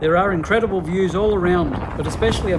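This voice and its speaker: Noticeable background noise and audible room echo fill the recording. A man with an Australian accent speaks at a very fast pace. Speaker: thru-hiker vlogger. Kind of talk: narrated travel vlog. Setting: outdoors on mountain trail.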